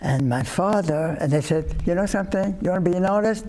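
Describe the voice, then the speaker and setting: Noticeable background noise sits behind a man's speech. His pitch swings very widely. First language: not English (European). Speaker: Holocaust survivor. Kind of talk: interview. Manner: halting, many fillers.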